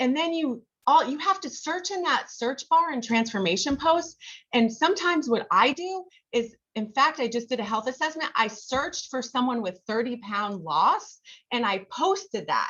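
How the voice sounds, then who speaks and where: Loud and high-pitched, a woman talks at a moderate pace with very wide pitch swings. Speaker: health coach. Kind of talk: training presentation on video call. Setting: video call. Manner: casual, filler-heavy.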